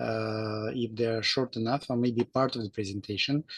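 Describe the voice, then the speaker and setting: A non-native accent at a moderate pace against a quiet background. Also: man. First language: not English. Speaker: engineer volunteer. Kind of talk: video call discussion. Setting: video call. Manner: halting, many fillers.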